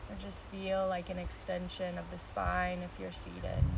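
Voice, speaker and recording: Soft-spoken and soothing, gentle in tone, a woman talks over noticeable background noise. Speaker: meditation teacher. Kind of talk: guided meditation. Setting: outdoors on a beach, live stream. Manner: slow, soothing, gentle; calm, soft-spoken, with pauses. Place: beach. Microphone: phone near.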